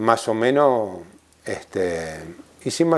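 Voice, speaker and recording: A man speaks at a medium pitch in an Argentine accent. His pace is very slow. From Argentina, La Pampa. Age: 70s. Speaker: former tightrope walker. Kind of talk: interview reminiscence. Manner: halting, with filler sounds.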